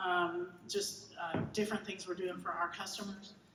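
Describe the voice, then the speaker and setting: Amid audible room echo and noticeable background noise, a woman speaks with an American accent. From Georgia, US South. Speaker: keynote speaker, logistics innovation executive. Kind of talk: keynote presentation. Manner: fast; animated.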